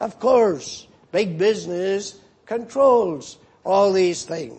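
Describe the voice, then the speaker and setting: A man speaks at a high pitch with a Northern Irish accent. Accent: Northern Irish (Ulster). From Northern Ireland. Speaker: pastor. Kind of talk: sermon.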